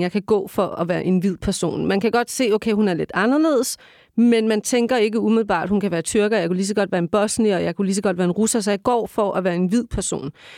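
A woman at a very fast pace and medium pitch. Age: 40s. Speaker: journalist and radio host. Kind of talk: casual chat. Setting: studio. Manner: halting.

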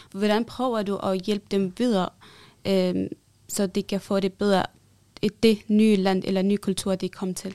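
A woman speaks in a monotone at a medium pitch and a fairly slow pace, her tone dark and mellow. The recording is very clean with a silent background and a dry, close sound with no echo. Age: young. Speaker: interviewer. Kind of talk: interview. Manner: hesitant.

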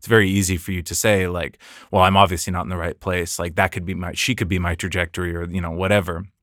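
The speaker has an American accent and goes very fast. Intonation stays monotone and flat in a very clean recording with a silent background. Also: man, very deep, low pitch for a man. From United States. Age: 30s. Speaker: podcast host. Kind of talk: casual chat.

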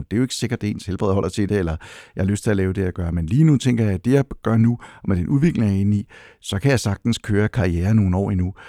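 A dark, mellow tone at a very fast pace, with ordinary pitch variation and a dry, close sound with no echo, in a very clean recording with a silent background. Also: man. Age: 60s. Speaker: HR professional. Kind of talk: interview. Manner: halting.

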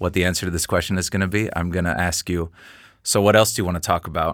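A man speaks with an American accent at a very deep, low pitch. His intonation is monotone and flat. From US Pacific Northwest (Seattle). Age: 30s. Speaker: fashion photographer and podcast host. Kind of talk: casual chat. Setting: studio. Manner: nervous.

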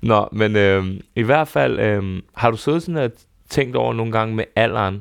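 Over a quiet background, a man speaks in an ordinary speaking voice at a fairly low pitch. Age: 30s. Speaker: podcast host. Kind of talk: casual chat. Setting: studio.

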